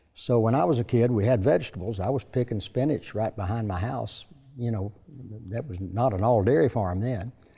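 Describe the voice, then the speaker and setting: With an East Tennessee accent, a man talks at a fairly quick pace in a somewhat breathy, medium-pitched voice with ordinary pitch variation, recorded very cleanly with a silent background. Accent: East Tennessee Southern. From US South. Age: 80s+. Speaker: businessman. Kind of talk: interview. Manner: halting.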